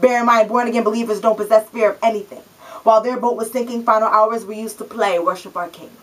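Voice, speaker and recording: Amid noticeable background noise, a woman talks at a very fast pace with a fairly high pitch, fairly even intonation and big swings in loudness. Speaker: spoken word poet. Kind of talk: spoken word poetry performance.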